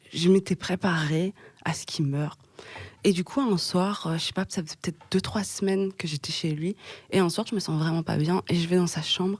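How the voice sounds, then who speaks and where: At a moderate pace, a woman speaks in a fairly low pitch with a somewhat breathy voice and fairly even intonation, and the sound is dry and close with no echo. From Belgium, Hainaut region near Mons. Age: 20s. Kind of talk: podcast interview answer. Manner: hesitant, conversational.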